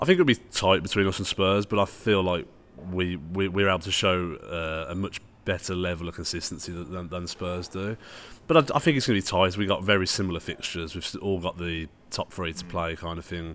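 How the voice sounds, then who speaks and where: A man speaks in a Brummie accent at a fairly quick pace. His very deep, low pitch stays at a fairly even intonation. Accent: Brummie (Birmingham) English. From Birmingham, England. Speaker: football YouTuber. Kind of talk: casual chat. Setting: social club venue. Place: bar. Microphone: studio mic.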